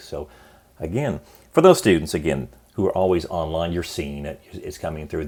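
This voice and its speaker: The man talks at a fairly quick pace. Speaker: college business professor. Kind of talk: course orientation lecture. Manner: fast; casual, encouraging.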